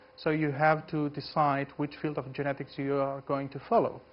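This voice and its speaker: A man with a Greek accent speaks at a moderate pace and a fairly high pitch. His intonation is monotone and flat. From Greece. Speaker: geneticist. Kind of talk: lecture. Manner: halting.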